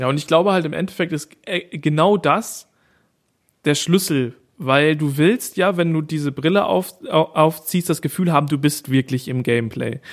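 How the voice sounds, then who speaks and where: A man's fairly high voice moves with ordinary pitch variation at a moderate pace. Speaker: podcast co-host. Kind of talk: casual chat. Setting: parents' living room, mobile setup.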